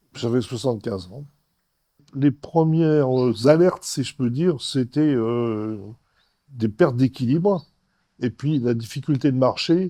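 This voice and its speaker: Speaking at a fairly slow pace with long, frequent pauses, a man with a medium pitch and a dark, mellow tone shows ordinary pitch variation and big swings in loudness. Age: 80s+. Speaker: patient. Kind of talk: testimony. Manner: halting, many hesitations.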